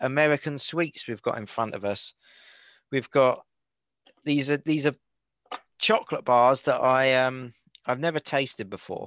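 Over a quiet background, a man with a British accent speaks at a moderate pace in a fairly high voice, the sound dry and close with no echo. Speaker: podcast host. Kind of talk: casual chat. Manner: joking, laughs often.

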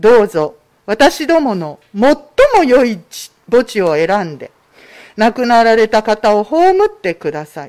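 In a very clean recording with a silent background, a woman speaks fairly slowly with long, frequent pauses, very wide pitch swings and big swings in loudness. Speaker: scripture reader. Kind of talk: reading aloud. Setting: church.

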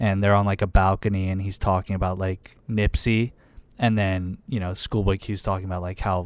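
On a very clean recording with a silent background, a man with an American accent uses a plain, everyday voice, fairly low in pitch, at a moderate pace. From Pittsburgh, US. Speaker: podcast co-host. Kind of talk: casual chat.

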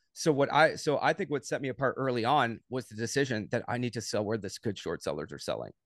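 An unremarkable speaking voice from a man at medium pitch, fairly quick, with ordinary pitch variation. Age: 30s. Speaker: day trader, former pro soccer player. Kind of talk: casual interview.

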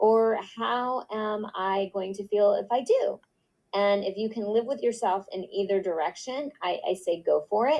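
A normal speaking voice proceeds at a moderate pace. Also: woman. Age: 50s. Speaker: podcast co-host. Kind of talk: casual chat.

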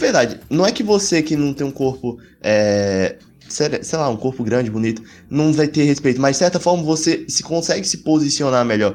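Over a silent background in a very clean recording, a man with an ordinary speaking voice talks at a moderate pace, his fairly high pitch carrying lively intonation. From Alagoas, Brazil. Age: 20s. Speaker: medical student. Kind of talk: casual chat.

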